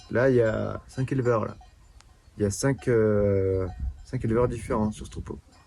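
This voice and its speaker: A man speaks at a fairly slow pace with long, frequent pauses. His voice is fairly low, with ordinary pitch variation, and there is noticeable background noise. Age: 20s. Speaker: shepherd. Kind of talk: interview. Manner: halting.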